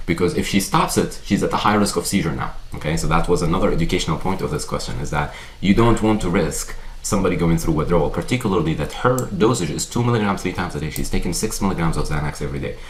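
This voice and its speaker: Speaking very fast with a non-native accent, a man with a very deep, low voice is heard over noticeable background noise and audible room echo. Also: lively intonation. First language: not English. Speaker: psychiatrist. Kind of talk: lecture. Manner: conversational, with frequent fillers.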